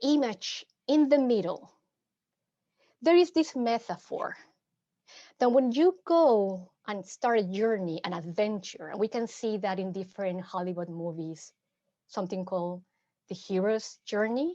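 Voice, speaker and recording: In a Mexican accent, a woman speaks at a fairly high pitch with a dark, mellow tone and very wide pitch swings. Her pace is fairly slow, with long, frequent pauses, and the background is quiet. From Mexico City. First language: Spanish. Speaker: psychotherapist. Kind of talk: workshop presentation. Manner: halting, frequent repetitions.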